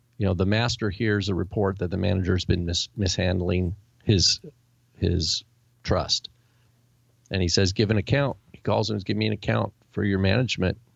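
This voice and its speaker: With an American accent, a man with a fairly low voice speaks at a moderate pace in fairly even intonation, leaving long, frequent pauses. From Washington State, US. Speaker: podcast co-host, Bible teacher. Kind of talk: casual religious discussion. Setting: live-streamed recording with chat room.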